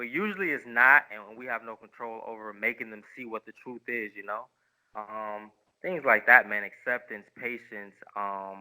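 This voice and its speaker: A man with an Upstate New York accent, medium pitch and big swings in loudness. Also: ordinary pitch variation, moderate pace. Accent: American English (Rochester, New York). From upstate New York, Rochester. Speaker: Muay Thai and Lethwei fighter. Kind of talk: casual interview chat.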